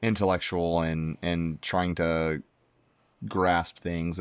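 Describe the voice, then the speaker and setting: A man's very deep, low pitch in fairly even intonation at a fairly slow pace, on a very clean recording with a silent background. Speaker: podcast guest, podcaster and former ministry worker. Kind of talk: casual interview conversation. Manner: loud; hesitant, many fillers.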